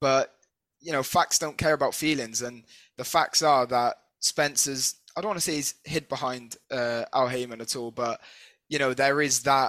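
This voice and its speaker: With a British accent, a man talks at a fairly high pitch in fairly even intonation. The recording is very clean with a silent background, and the sound is dry and close with no echo. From Britain. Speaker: podcast co-host. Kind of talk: interview.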